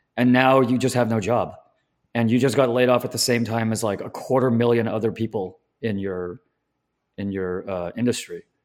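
In an American accent, a man with a normal speaking voice talks at a moderate pace and medium pitch, his intonation fairly even. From Southern California. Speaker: finance video commentator. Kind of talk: casual chat.

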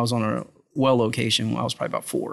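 Vocal fry runs through very fast speech set against a quiet background. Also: man. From South Louisiana. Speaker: oil company operations manager. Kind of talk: interview conversation. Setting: restaurant dining room.

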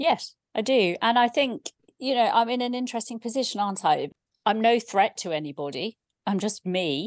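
Against a quiet background, a woman with an ordinary speaking voice talks at a moderate pace with a fairly high pitch and lively intonation, the sound dry and close with no echo.

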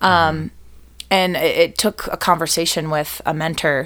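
Here a woman speaks with an American accent and a fairly low pitch. The recording is very clean, with a silent background. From Boston area, US. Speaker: cabaret singer and performer. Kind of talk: casual interview chat.

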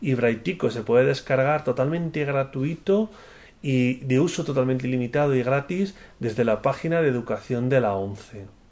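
Here is a man with an ordinary speaking voice at medium pitch and ordinary pitch variation. He speaks at a moderate pace against a quiet background. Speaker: director of a technology center for the blind. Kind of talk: interview.

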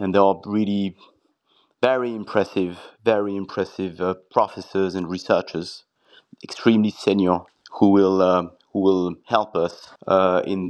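Monotone, flat intonation in a French accent. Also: man. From southern France (Arles). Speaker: quantum computing executive. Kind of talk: interview. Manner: hesitant, repeats words.

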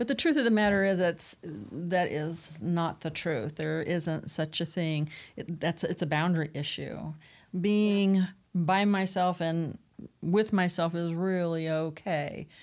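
There is an ordinary speaking voice from a woman with ordinary pitch variation, in a very clean recording with a silent background. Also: fairly low pitch for a woman. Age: 50s. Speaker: clinical director, family recovery. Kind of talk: panel discussion.

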